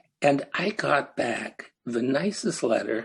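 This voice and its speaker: In a Canadian accent, a man with a fairly high pitch speaks in a somewhat breathy voice with lively intonation. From Canada, Ontario. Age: 80s+. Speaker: retired psychiatrist. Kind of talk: interview.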